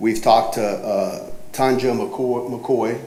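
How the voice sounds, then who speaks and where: A man's medium-pitched voice with audible room echo and noticeable background noise. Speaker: property owner. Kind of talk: cross-examination at a code hearing. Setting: city government hearing room. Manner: speaks softly.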